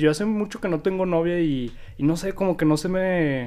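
A man speaks with a Mexican accent at a fairly slow pace. His pitch variation is ordinary. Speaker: podcast host. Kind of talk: casual chat.

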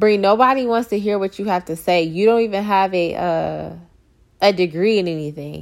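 Her pitch medium and varying in an ordinary way, a woman with an unremarkable speaking voice keeps a moderate pace. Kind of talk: encouraging sermon-like talk with prayer. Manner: warm, casual, conversational.

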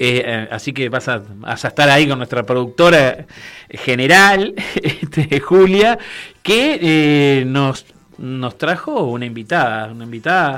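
A man's fairly high voice at a very slow pace with lively intonation. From Uruguay. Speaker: radio host. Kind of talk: radio interview.

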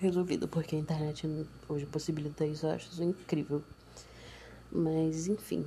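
A woman's somewhat breathy voice, dark and mellow in tone, with a very deep, low pitch, monotone, flat intonation, a moderate pace and long, frequent pauses. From Brazil, Nova Iguaçu, Baixada Fluminense (Rio de Janeiro). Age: young. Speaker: podcaster. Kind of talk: personal monologue. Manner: casual, hesitant.

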